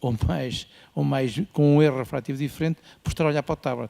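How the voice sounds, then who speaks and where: A man speaks at a moderate pace in a medium pitch, his tone dark and mellow. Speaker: ophthalmologist. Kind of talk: conference panel remarks. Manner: assertive.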